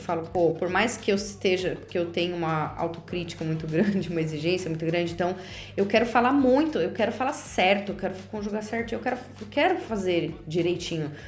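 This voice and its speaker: With audible room echo and noticeable background noise, a woman talks at a medium pitch and a moderate pace with ordinary pitch variation. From Brazil. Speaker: podcast host. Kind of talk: casual monologue.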